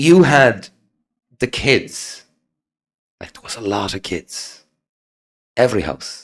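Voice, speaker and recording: This man has an Irish accent and a medium pitch, with very wide pitch swings and vocal fry. He speaks at a very slow pace with long, frequent pauses and big swings in loudness. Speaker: podcast host. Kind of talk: casual chat. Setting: in-person interview.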